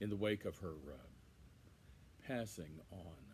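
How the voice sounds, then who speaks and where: A man with a very deep, low pitch, lively intonation and vocal fry. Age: 60s. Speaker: son giving a eulogy. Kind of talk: eulogy. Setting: outdoors on a patio. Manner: halting, many fillers.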